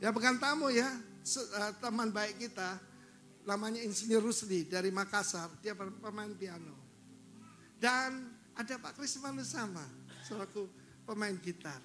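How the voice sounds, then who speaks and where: A man's raised, projected voice, high-pitched and animated, at a fairly slow pace with long, frequent pauses, ordinary pitch variation, audible room echo and music in the background. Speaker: pastor. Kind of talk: sermon.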